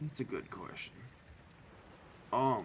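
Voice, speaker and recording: A man's raspy, put-on character voice in a tired tone, with clear background noise. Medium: actual play. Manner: tired, laid-back.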